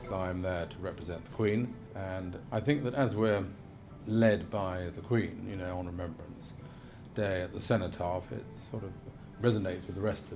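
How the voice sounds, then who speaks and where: A man's fairly low voice at a moderate pace, ordinary pitch variation, big swings in loudness and audible room echo. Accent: East Midlands. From Lincolnshire, England. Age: 60s. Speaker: representative of the Queen (deputy lieutenant). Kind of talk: documentary interview. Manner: hesitant, filler-heavy.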